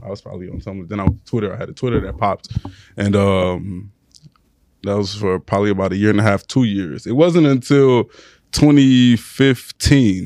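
A man with a normal speaking voice and an American accent talks at a moderate pace and fairly low pitch, with ordinary pitch variation and big swings in loudness. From Houston, Texas (Sugar Land / Missouri City). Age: 20s. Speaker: blog owner. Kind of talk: casual chat.

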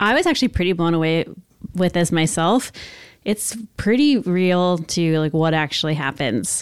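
With an American accent, a woman speaks at a moderate pace in a fairly low pitch, her intonation lively and her loudness very even. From Northern California (Lodi). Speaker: chef. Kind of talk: interview. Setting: guest's home. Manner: calm.

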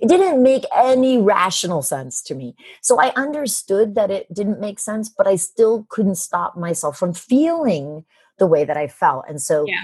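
At a moderate pace, the somewhat breathy voice makes very wide pitch swings and big swings in loudness. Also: woman, medium pitch for a woman. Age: 50s. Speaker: business coach and author. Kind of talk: interview.

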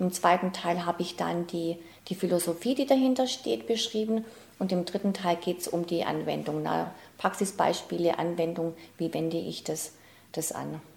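Woman's fairly low voice with vocal fry. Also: ordinary pitch variation, moderate pace. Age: 50s. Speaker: self-help coach, former programmer. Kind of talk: interview.

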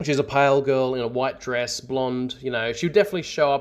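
A man with an Australian accent speaks at medium pitch with fairly even intonation. The recording is very clean, with a silent background. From Australia, north of Sydney. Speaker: listener sharing paranormal story. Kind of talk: recorded storytelling. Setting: self-recorded audio submission.

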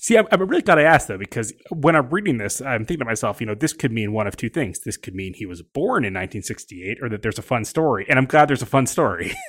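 Talking at a very fast pace with hardly any pauses, a man at medium pitch shows very wide pitch swings and big swings in loudness in a very clean recording with a silent background. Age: 40s. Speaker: podcast host, magazine editor. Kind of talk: casual interview. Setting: on location at a ballpark.

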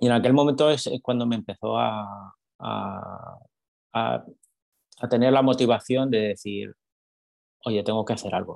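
A man at a fairly slow pace, with fairly even intonation, big swings in loudness, and long, frequent pauses. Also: medium pitch for a man. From Spain, Madrid. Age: 40s. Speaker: salesman and author. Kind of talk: interview conversation. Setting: video call.

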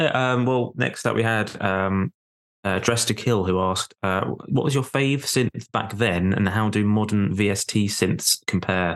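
Against a quiet background, a man with a plain, everyday voice speaks at a fairly slow pace, his fairly low pitch showing ordinary variation and his loudness very even. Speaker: podcast host. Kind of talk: casual interview.

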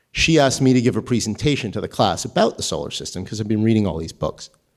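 This man speaks at medium pitch with an American accent. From northern New Jersey. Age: 30s. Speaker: astrophysicist and writer. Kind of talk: live storytelling. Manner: halting, with repetitions.

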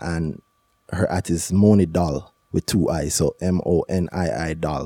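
A man's very deep, low voice in a dark, mellow tone with fairly even intonation, dry and close with no echo, on a very clean recording with a silent background. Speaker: podcast host. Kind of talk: casual chat.

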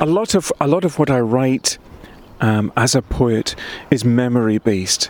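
A man speaks at a medium pitch with ordinary pitch variation and very even loudness. The sound is dry and close with no echo, though noticeable background noise comes through. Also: moderate pace. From Scotland, Highland Perthshire. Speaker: poet. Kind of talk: casual chat; reading aloud.

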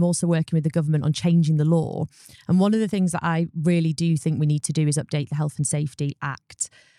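A woman with a British accent and a dark, mellow tone talks at a very fast pace, recorded in a dry, close sound with no echo. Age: 30s. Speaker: solicitor and law firm founder. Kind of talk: interview.

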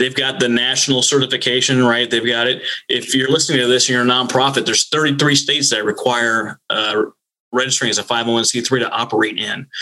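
A man with an American accent, medium pitch, monotone, flat intonation, very even loudness and a fairly quick pace. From northern Minnesota. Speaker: naval flight officer and nonprofit consultant. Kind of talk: interview.

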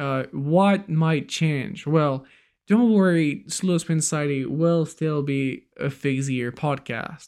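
A man with a fairly high pitch speaks at a very slow pace in a very clean recording with a silent background. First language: not English. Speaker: podcast host. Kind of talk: casual chat.

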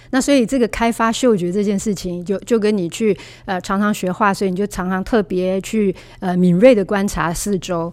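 A woman talks at a fairly quick pace in a normal speaking voice, with a medium pitch and ordinary pitch variation. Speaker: author and aromatherapy teacher. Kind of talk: interview.

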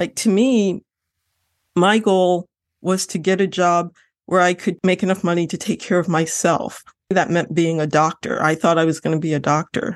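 In an American accent, a woman with a plain, everyday voice speaks at a moderate pace in a fairly low pitch, with fairly even intonation, very even loudness and a quiet background. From Lorain, Ohio. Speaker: novelist. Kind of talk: interview.

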